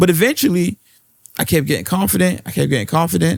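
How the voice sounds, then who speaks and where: A man talks at a fairly quick pace with a strong Baltimore accent and a fairly high pitch. The sound is dry and close, with no echo. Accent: thick Baltimore. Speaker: podcast co-host. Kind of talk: casual chat.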